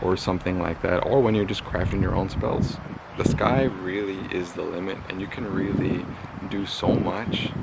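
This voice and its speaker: A man with a very deep, low pitch and fairly even intonation talks at a moderate pace over noticeable background noise. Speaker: magick and spirituality YouTuber. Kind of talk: solo video talk, advice. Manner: monotone.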